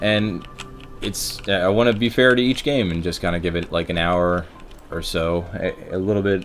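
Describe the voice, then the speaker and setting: Music plays in the background. A man with an American accent speaks at a fairly quick pace with ordinary pitch variation. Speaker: gaming streamer. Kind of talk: gameplay commentary.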